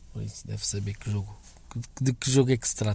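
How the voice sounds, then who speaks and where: The man's voice sits at a fairly low pitch with a dark, mellow tone. It sounds somewhat breathy. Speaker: listener sending a voice message. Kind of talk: recorded voice message. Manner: halting.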